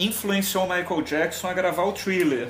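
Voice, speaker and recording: Over music in the background and audible room echo, a man speaks at a high pitch for a man. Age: 40s. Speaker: music YouTuber. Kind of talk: casual chat.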